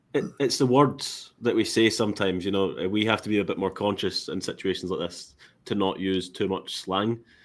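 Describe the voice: In a Scottish accent, a man with a fairly low pitch talks at a moderate pace and with fairly even intonation, in a very clean recording with a silent background.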